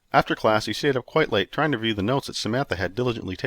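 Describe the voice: Someone reads aloud plainly. The pitch shifts an ordinary amount.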